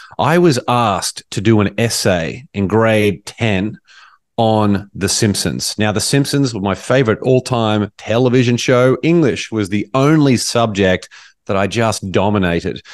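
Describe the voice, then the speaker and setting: Against a quiet background, a man has a plain, everyday voice with a fairly low pitch and ordinary pitch variation. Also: fairly slow pace, dry, close sound with no echo. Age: 40s.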